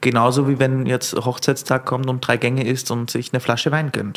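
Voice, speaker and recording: This man's intonation is monotone and flat while he keeps a moderate pace. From Austria, rural Lower Austria. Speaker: sommelier and restaurateur. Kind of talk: casual interview. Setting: on location in a venue.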